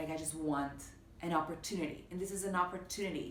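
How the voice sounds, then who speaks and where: A woman's very deep, low voice at a fairly quick pace, with fairly even intonation over noticeable background noise. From Panama. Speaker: actress. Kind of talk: interview answer.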